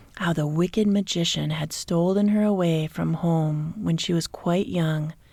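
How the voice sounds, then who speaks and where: Soft-spoken and somewhat breathy, a woman with an American accent talks at a fairly slow pace in a fairly low pitch. Her intonation is fairly even on a very clean recording with a silent background. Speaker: relaxation coach. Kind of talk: sleep story. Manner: soft-spoken, relaxing.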